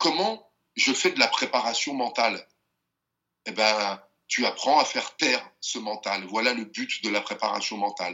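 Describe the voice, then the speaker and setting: A man is speaking. His intonation is lively. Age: 50s. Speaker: boxing champion and mental coach. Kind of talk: interview conversation.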